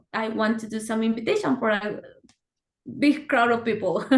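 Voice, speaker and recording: A woman's fairly high voice with ordinary pitch variation, in a Spanish accent. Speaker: software engineer. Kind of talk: casual chat.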